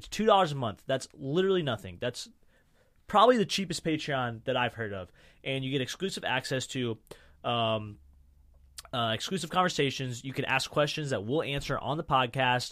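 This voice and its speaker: A man with a plain, everyday voice speaks at a fairly quick pace in an American accent, his pitch medium and his intonation lively. The recording is very clean, with a silent background. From US Midwest. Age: 20s. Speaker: podcast host. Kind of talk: casual chat. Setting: studio.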